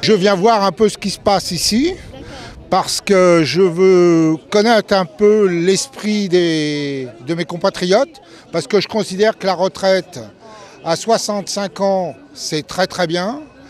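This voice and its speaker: A man speaks at a very slow pace in a high pitch with ordinary pitch variation. Noticeable background noise runs underneath. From Portugal. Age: 60s. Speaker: passer-by at a protest. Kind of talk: street interview.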